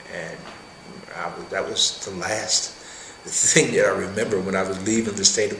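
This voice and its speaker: Noticeable background noise is present throughout. A man speaks over it at a moderate pace. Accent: American. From Wheeling, West Virginia. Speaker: retired union leader and Army veteran. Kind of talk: oral history interview answer.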